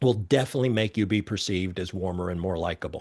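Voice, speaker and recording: A fairly low-pitched male voice with fairly even intonation against a quiet background. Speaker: body language expert. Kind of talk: interview.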